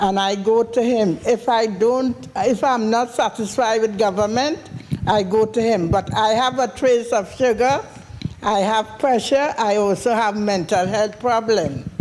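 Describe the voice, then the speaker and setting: Noticeable background noise sits under a woman with a Trinidadian accent. She talks at a fairly high pitch and a fairly slow pace, her loudness very even. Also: ordinary pitch variation. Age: 60s. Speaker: audience member. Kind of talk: question from the floor.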